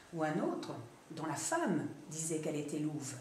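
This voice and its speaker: There is noticeable background noise. Over it, a woman talks at a moderate pace. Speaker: storyteller. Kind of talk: live storytelling performance. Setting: stage.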